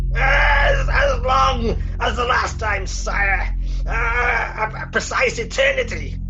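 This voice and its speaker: A put-on character voice shouting at a very slow pace over loud music in the background. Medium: stage play. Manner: sardonic, hesitant.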